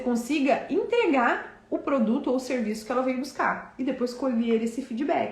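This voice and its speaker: A woman speaks at a moderate pace with lively intonation. There is audible room echo and noticeable background noise. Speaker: business coach. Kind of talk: live online class.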